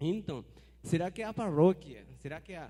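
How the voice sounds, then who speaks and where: A man speaks at a high pitch with a dark, mellow tone. His pace is fairly quick and his pitch varies in an ordinary way. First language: Spanish (speaking Portuguese). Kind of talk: audience question at forum.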